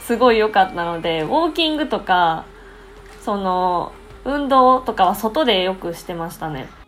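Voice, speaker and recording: A woman speaks at a moderate pace and medium pitch, her pitch swinging very widely and her loudness rising and falling sharply. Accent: Kansai. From Japan, Osaka. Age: 20s. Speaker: English conversation teacher. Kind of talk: casual chat. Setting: video call.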